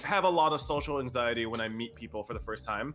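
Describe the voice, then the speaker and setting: A man's loud, very fast speech. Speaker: streamer. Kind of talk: casual chat. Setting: live stream. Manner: talkative.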